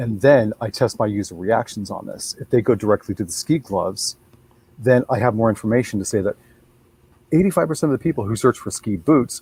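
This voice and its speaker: Somewhat breathy and dark and mellow in tone, the voice moves at a fairly quick pace with ordinary pitch variation, in a dry, close sound with no echo. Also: man. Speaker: search engine expert. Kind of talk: webinar panel discussion. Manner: fast.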